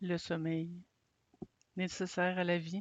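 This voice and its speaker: Speech comes at a very slow pace in a Quebec accent. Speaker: meditation guide. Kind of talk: guided sleep meditation.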